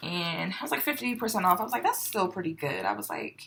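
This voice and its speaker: Quietly and at a fairly quick pace, a woman talks at medium pitch with lively intonation. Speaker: home decor YouTuber. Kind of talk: haul video, casual chat to camera. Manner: loud; perceived as too quiet by a viewer.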